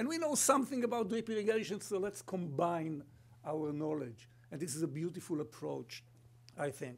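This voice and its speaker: A man with a high voice, very wide pitch swings and an Israeli accent. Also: moderate pace. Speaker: company sustainability executive and kibbutz member; guest. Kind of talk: conference presentation. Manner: humorous, storytelling. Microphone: podium.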